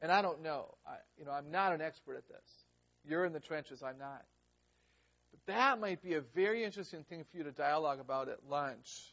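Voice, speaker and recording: A man talks at a fairly quick pace in an unremarkable speaking voice with a fairly high pitch. His loudness swings a lot. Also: ordinary pitch variation. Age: 50s. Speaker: educator giving a workshop. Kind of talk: lecture. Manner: conversational, engages audience.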